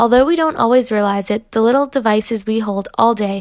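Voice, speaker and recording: With an American accent, a woman talks at a moderate pace in an unremarkable speaking voice pitched fairly high. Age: 20s. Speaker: student. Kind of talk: scripted narration; phone call interview.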